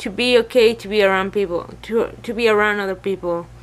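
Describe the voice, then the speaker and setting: A woman mumbles in a Spanish accent at a fairly high pitch, her intonation fairly even. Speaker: vlogger. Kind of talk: personal vlog, venting. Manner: mumbling; halting, hesitant.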